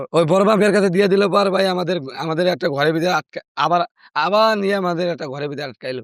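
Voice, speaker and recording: This man's voice sits high in pitch. Its pitch varies in an ordinary way. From Madaripur, Bangladesh. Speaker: trafficking survivor, returned migrant. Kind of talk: interview answer.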